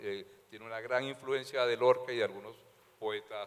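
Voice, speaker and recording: Noticeable background noise accompanies a man speaking at a moderate pace. His medium-pitched voice has lively intonation. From Colombia, Valledupar (Caribbean coast). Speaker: novelist. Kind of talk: literary talk at public event. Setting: library event with audience. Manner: halting, many fillers.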